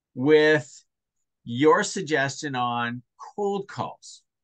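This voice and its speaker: A man speaks at a very slow pace in a high pitch with very wide pitch swings, his tone bright and sharp, in a dry, close sound with no echo. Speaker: sales coach. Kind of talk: one-on-one coaching session.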